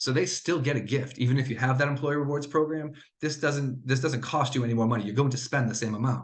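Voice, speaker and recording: Very fast, somewhat breathy speech with fairly even intonation and audible room echo. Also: man, medium pitch for a man. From New England. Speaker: sales representative. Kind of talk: webinar presentation.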